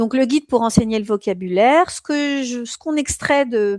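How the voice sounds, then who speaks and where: The sound is dry and close with no echo as a woman speaks at a fairly high pitch and fairly slow pace with ordinary pitch variation. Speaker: exam prep teacher. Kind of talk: live online lecture. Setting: live stream. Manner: hesitant, many fillers.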